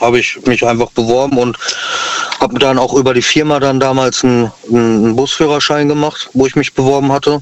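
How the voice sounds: Medium pitch from a male speaker, fairly quick delivery, intonation fairly level.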